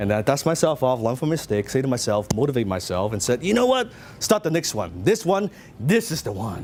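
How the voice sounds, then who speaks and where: A man with a Hong Kong accent speaks at a very fast pace and a medium pitch. His tone is animated, with very wide pitch swings. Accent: Hong Kong Chinese. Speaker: business coach. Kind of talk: motivational seminar talk.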